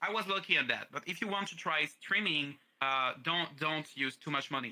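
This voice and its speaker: Delivered at a moderate pace, the voice has lively intonation. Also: man. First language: French. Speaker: streamer and voice actor. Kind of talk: interview. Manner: halting.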